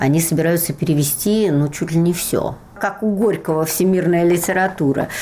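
A woman speaks with a fairly low pitch and ordinary pitch variation. Noticeable background noise runs underneath. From Russia, Moscow. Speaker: literature professor and translator. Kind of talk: interview.

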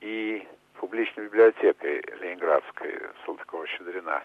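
A man talking at a moderate pace. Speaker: businessman and screenwriter. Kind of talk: interview.

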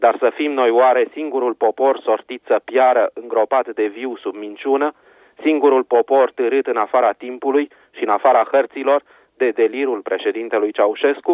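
At a moderate pace, a man talks in a plain, everyday voice with medium pitch and fairly even intonation. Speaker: radio correspondent. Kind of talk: reading aloud a letter of intellectuals. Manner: solemn, serious.

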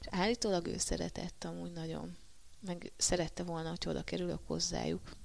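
A woman speaks at a fairly quick pace. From Hungary, Marcali area (Somogy). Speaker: professional kickboxer. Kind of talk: interview. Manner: halting, many fillers and repetitions.

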